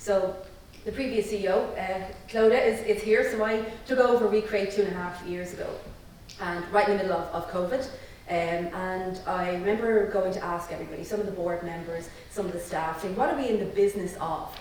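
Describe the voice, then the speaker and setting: At a fairly quick pace, a woman speaks at medium pitch with ordinary pitch variation. Noticeable background noise and audible room echo are present. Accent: Irish. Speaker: social enterprise CEO. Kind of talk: panel discussion. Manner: loud.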